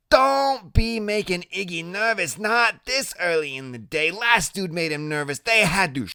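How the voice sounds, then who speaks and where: On a very clean recording with a silent background, a man does a put-on character voice, high for a man, at a moderate pace with hardly any pauses. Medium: read story. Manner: coarse, talks out of side of mouth.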